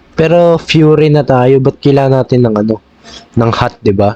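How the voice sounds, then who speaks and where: His voice sits fairly high for a man, with ordinary pitch variation. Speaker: gaming youtuber. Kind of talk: gameplay commentary. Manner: animated; halting.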